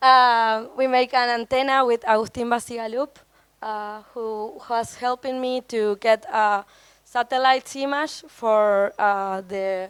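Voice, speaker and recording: In a very clean recording with a silent background, a woman speaks at a very slow pace in a fairly high pitch with ordinary pitch variation and a dry, close sound with no echo. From Argentina. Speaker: photographer, visual artist. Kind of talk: panel talk presenting own project. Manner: halting, many fillers.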